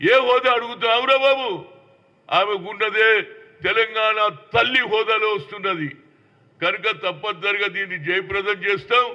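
This man speaks at a high pitch, with ordinary pitch variation. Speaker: politician. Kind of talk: political statement to the press.

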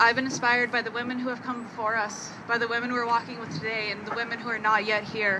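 With a Canadian accent, a woman speaks very fast in a monotone, flat intonation, with hardly any pauses and noticeable background noise. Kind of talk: impassioned rally speech to marchers. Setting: outdoor rally march. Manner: defiant, rousing calls to action; solemn, spiritual closing cadence. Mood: earnest, impassioned. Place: open country.

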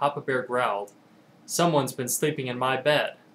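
A man in an American accent talks at a moderate pace. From Tucson, Arizona. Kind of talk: story reading.

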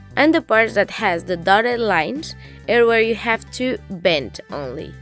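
Over music in the background, a woman speaks fairly slowly at a medium pitch with lively intonation. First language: Spanish. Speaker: DIY craft YouTuber. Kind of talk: craft tutorial voice-over.

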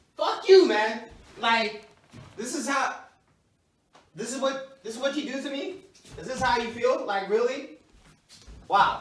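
This man's voice sits extremely high for a man, with ordinary pitch variation and big swings in loudness. He talks at a fairly slow pace with long, frequent pauses, and the room echo is audible. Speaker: comedy skit actor. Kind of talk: acted skit dialogue. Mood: upset, hurt, confrontational. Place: home room. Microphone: camera far.

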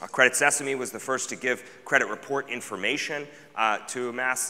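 A man's fairly quick pace comes through noticeable background noise. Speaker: presenter. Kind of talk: conference keynote talk. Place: hall.

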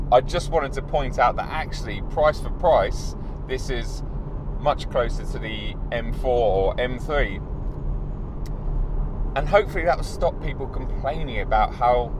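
A man speaks at a fairly slow pace, leaving long, frequent pauses. The sound is dry with no echo, and there is noticeable background noise. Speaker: car reviewer. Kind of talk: casual review commentary. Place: car.

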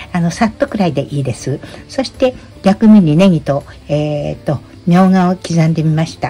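Speech moves at a moderate pace. Its pitch rises and falls very widely. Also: woman. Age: 80s+. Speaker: YouTuber. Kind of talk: tutorial. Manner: casual. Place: kitchen. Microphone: phone near.

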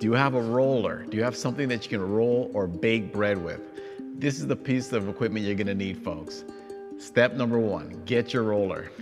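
Clear music plays in the background as a man with a fairly low pitch speaks at a moderate pace. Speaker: personal trainer for seniors. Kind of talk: tutorial. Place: gym. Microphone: lapel.

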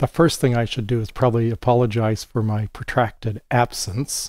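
A man's medium-pitched, slightly mellow voice at a moderate pace with fairly even intonation

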